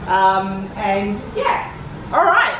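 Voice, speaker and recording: A woman with an Australian accent talks in a room with audible echo and noticeable background noise. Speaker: cosplayer giving convention panel. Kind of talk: convention panel talk. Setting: convention panel room with audience. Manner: animated. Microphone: handheld camera mic, sound issues.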